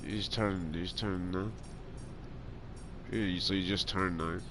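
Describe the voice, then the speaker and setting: Audible room echo surrounds a man speaking at a moderate pace with fairly even intonation. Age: 20s. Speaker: video game streamer. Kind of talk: casual chat while gaming. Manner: rambling, halting with many fillers.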